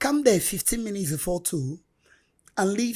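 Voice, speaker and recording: Lively intonation marks a woman's speech. Her voice is somewhat breathy. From Nigeria, Anambra State. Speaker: street hawker, bereaved mother. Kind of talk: interview testimony.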